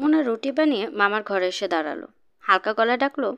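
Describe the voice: The speaker does plain reading aloud with lively intonation.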